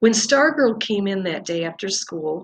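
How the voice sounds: The voice reads naturally, with lively intonation.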